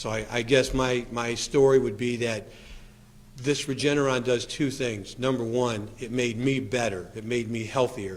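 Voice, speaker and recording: With audible room echo, a man talks at a moderate pace in a medium pitch with fairly even intonation. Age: 60s. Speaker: patient sharing treatment experience. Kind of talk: testimony. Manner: halting.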